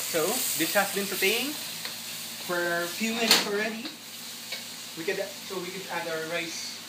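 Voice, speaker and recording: Over noticeable background noise, a man speaks in a high, raised, projected voice. His pace is moderate, and his pitch varies in an ordinary way. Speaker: home cook. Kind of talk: cooking tutorial, casual talk to camera. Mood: friendly, cheerful. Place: kitchen. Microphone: camera far.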